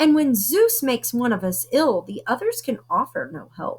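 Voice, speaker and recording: This woman puts on a character voice. She speaks at a moderate pace. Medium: read story.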